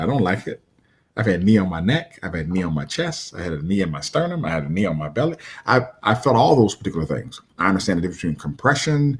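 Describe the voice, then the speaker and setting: A somewhat breathy man at a very fast pace, with very wide pitch swings, on a very clean recording with a silent background. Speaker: martial arts coach and motivational speaker. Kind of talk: motivational talk. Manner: repetitive, stammering.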